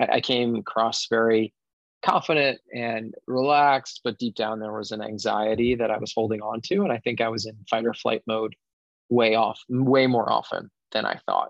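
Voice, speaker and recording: Using an unremarkable speaking voice, a man speaks at a medium pitch and a moderate pace with fairly even intonation. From Connecticut. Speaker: wellness facilitator. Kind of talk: interview.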